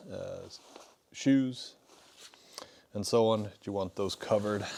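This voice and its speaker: Over noticeable background noise, a man with an American accent speaks at a fairly slow pace, his fairly low voice keeping a fairly even intonation. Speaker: outdoor gear shop owner. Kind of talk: product review. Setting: shop studio. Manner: casual, hesitant with fillers.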